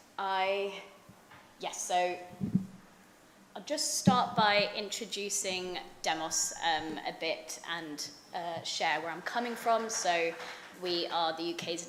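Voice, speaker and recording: A woman with a British accent and a fairly low pitch speaks with ordinary pitch variation, with audible room echo and noticeable background noise. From London, England. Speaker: think tank researcher. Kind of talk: conference talk. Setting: conference panel with audience. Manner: hesitant, many fillers.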